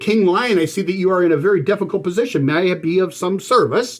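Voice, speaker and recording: In a squeaky, put-on character voice, a man with high pitch rattles along at a very fast pace. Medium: read story. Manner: humble, deferential.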